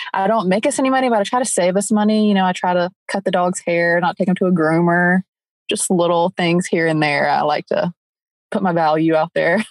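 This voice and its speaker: A woman with an American accent speaks at a medium pitch and a fairly quick pace, in a normal speaking voice with ordinary pitch variation and very even loudness. The background is quiet, and the sound is dry and close with no echo. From upstate South Carolina. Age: 20s. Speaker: stay-at-home mom. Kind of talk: casual interview chat.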